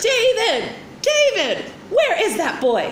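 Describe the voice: A woman shouts in a put-on character voice at an extremely high pitch, with very wide pitch swings and a slow pace. Audible room echo surrounds her.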